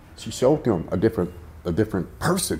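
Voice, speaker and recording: This man talks at a fairly quick pace with a somewhat breathy, dark and mellow tone. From South Central Los Angeles; California. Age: 50s. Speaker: former prisoner; interviewee. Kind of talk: life story interview. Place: studio.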